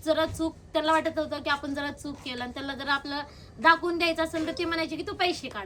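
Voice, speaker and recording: A woman's high-pitched, raised, projected voice over noticeable background noise. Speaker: vlogger interviewing her grandmother. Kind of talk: casual talk to camera and interview questions.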